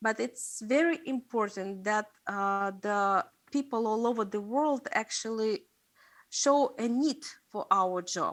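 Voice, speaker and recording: In a Russian accent, a woman with a fairly high pitch speaks very slowly on a very clean recording with a silent background. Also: ordinary pitch variation. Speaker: investigative journalist. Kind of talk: seminar talk. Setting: stage with audience. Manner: halting, many fillers.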